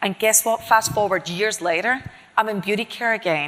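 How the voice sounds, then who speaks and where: A woman with a Scottish accent, animated, her tone bright and sharp. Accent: non-Miami accent (Scottish). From Scotland. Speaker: chief marketing officer. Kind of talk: interview on stage.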